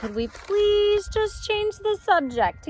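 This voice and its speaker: A put-on character voice moves at a fairly slow pace against clear background noise. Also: woman, extremely high pitch for a woman. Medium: read story.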